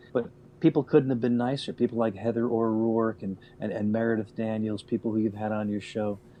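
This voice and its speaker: With a normal speaking voice, a man talks at a medium pitch and a fairly quick pace, keeping his intonation fairly even. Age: 60s. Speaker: radio veteran. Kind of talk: casual chat.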